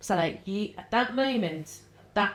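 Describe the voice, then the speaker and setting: The pace is moderate. This woman's pitch rises and falls very widely. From northern England, Runcorn, Cheshire. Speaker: wellness community founder. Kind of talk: podcast interview.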